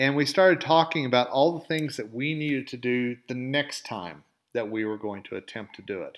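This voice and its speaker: A man at a medium pitch, with lively intonation and big swings in loudness, on a very clean recording with a silent background. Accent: slight Southern US. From Oklahoma. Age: 50s. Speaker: podcast host. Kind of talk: motivational monologue.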